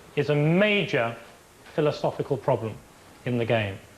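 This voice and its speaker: A fairly high-pitched man with a London accent, at a moderate pace, with very wide pitch swings. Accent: posh Harrow. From England. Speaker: football referee. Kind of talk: documentary interview.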